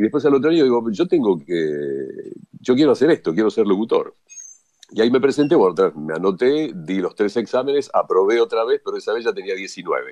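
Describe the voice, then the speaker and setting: With a Rioplatense accent, a man at medium pitch talks at a fairly quick pace, his pitch swinging very widely in a dry, close sound with no echo. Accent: Argentine Rioplatense Spanish. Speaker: radio announcer and sports journalist. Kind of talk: interview. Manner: natural, unaffected delivery.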